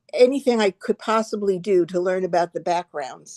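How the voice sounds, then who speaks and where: A woman talks at a medium pitch with a dark, mellow tone and ordinary pitch variation. The sound is dry and close, with no echo. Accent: American. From New York, Long Island. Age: 70s. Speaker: art director and interior designer. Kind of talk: casual interview. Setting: video call.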